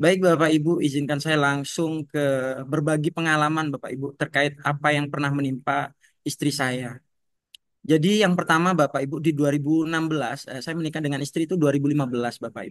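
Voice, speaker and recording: In a dry recording with no echo and a quiet background, a man speaks fairly high at a moderate pace with fairly even intonation. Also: big swings in loudness. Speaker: schoolteacher sharing patient family story. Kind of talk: testimony. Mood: emotional, recounting hardship. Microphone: video call.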